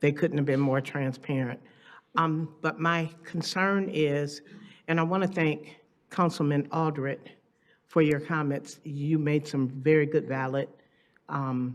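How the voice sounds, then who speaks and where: Her pitch very deep and low, a woman speaks fairly slowly with fairly even intonation. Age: 60s. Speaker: resident speaking at public comment. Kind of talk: public comment at council meeting. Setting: city council meeting.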